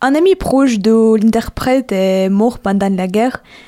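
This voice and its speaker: A woman with a Ukrainian accent talks at a very slow pace, her pitch fairly high and her pitch variation ordinary. Her tone is dark and mellow. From Ukraine. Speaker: university student. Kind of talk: testimony. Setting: studio.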